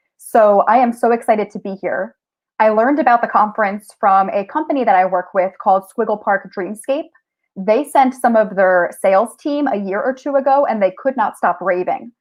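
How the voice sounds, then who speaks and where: Her voice carries an American accent and a fairly high pitch. The woman speaks at a moderate pace with ordinary pitch variation. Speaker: teacher and tech coach. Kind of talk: conference presentation. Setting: virtual conference.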